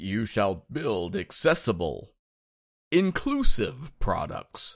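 The speaker does a booming put-on character voice. Delivery comes at a very slow pace. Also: man, medium pitch for a man. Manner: booming, mock-solemn.

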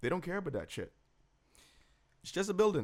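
A man speaks here. His tone is animated. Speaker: podcast host. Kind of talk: casual banter recap of TV episode. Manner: animated, joking, fast overlapping banter.

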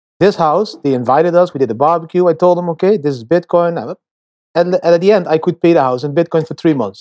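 A man with a Dutch accent speaks in a high voice with a dark, mellow tone and ordinary pitch variation, recorded dry and close with no echo. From Netherlands. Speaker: bitcoin investor and traveling nomad. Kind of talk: interview. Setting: remote call. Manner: talkative.

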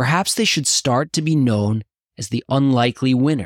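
A man with an American accent speaks in an ordinary speaking voice at a moderate pace, his medium-pitched delivery carrying lively intonation, recorded very cleanly against a silent background with a dry, close sound and no echo. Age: 30s. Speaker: podcast host. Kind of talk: scripted narration.

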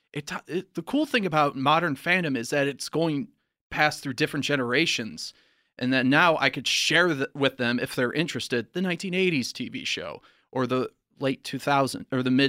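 Speaking at a fairly quick pace, a man uses a fairly high pitch and a bright, sharp tone. The recording is very clean, with a silent background and a dry, close sound with no echo. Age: 30s. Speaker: comedian. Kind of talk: casual chat.

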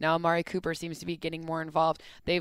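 A woman with an American accent talks at a fairly quick pace in an unremarkable speaking voice, pitched fairly low. The recording is very clean, with a silent background. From US Midwest, Michigan. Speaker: football analyst. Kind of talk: casual chat.

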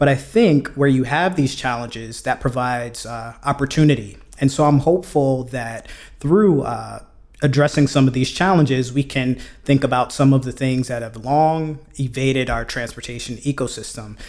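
A man speaks with an American accent at a moderate pace in an ordinary speaking voice, medium in pitch with ordinary pitch variation. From US Northeast (Brooklyn, New York City). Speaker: mobility policy expert. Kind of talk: interview podcast.

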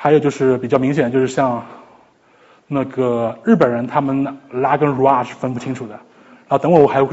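Here a man talks at a fairly quick pace. His pitch sits in the medium range. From China, Shanghai. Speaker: psychology PhD student, lecturer. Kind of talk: lecture. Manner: halting, with repetitions.

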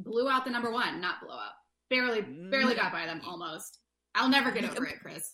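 A woman's ordinary speaking voice, fairly high and fairly quick, with lively intonation and big swings in loudness. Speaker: co-host.

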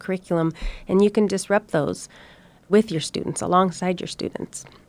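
A woman with an American accent and an unremarkable speaking voice, fairly even intonation, a fairly quick pace, and a very clean recording with a silent background. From Oregon. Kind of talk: panel discussion.

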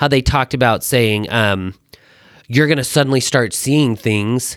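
A man at a moderate pace with lively intonation, on a very clean recording with a silent background. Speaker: guest. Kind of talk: casual chat.

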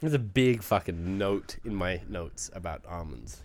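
This man has a very deep, low pitch with vocal fry and lively intonation. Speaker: podcast co-host. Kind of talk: casual chat.

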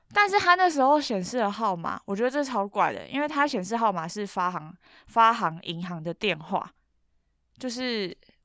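A woman with a Taiwanese accent speaks at a moderate pace in a fairly high, bright, sharp voice with very wide pitch swings. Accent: Taiwanese Mandarin. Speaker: podcast co-host. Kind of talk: casual chat.

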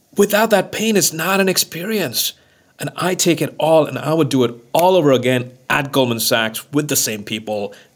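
A man's fairly high-pitched voice, moderate in pace, with very wide pitch swings. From India, Mumbai. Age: 40s. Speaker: investor. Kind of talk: interview.

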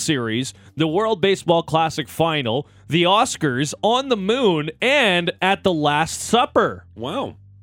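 A man's fairly high voice, upbeat and excited, with lively intonation and music playing in the background. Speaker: radio sports host. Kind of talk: sports radio recap, recapping highlights. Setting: radio studio. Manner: upbeat, excited, conversational.

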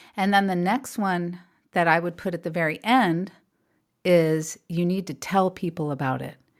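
A woman with a normal speaking voice talks at a moderate pace, fairly low in pitch, with ordinary pitch variation. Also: very clean recording, silent background. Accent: American. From California. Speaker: artist and author. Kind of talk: casual interview.

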